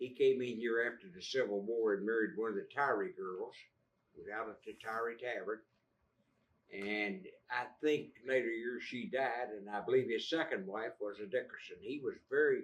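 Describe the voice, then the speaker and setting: A man with an Appalachian accent, medium pitch and ordinary pitch variation, at a moderate pace, with big swings in loudness. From West Virginia (Fayette County). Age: 80s+. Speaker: local historian. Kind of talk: public talk. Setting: library audience. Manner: halting.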